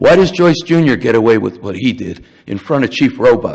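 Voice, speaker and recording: Vocal fry at a moderate pace, with very wide pitch swings. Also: man. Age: 70s. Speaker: public commenter at council meeting. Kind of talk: public comment speech. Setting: council chambers. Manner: animated.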